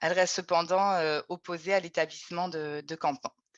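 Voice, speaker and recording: A woman in a normal speaking voice talks at a moderate pace and medium pitch, the sound dry and close with no echo. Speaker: researcher. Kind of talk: webinar presentation.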